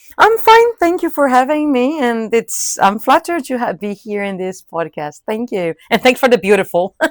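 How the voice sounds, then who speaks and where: Over a dry, close sound with no echo, a woman with a Portuguese accent talks at a moderate pace in a high voice, with very wide pitch swings, big swings in loudness and hardly any pauses. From Brazil, São Paulo. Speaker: English teacher. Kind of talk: interview. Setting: outdoors.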